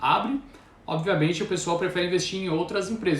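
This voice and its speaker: There's audible room echo around this man's voice, which has ordinary pitch variation. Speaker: stock market commentator. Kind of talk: live stream market commentary. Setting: live stream. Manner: fast.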